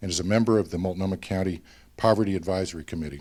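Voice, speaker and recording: Speaking with an Oregon accent, a man uses a very deep, low voice with ordinary pitch variation on a very clean recording with a silent background. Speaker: nonprofit board officer. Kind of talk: award presentation speech.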